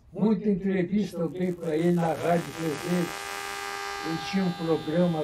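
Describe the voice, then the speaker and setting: A man's high-pitched voice comes through at a fairly slow pace with noticeable noise behind it. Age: 90s. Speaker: retired army colonel and historian. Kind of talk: radio interview. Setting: radio studio.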